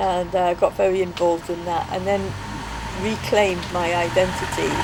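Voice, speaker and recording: Noticeable background noise is present. A woman speaks at a medium pitch. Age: 60s. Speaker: interviewee. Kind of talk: interview.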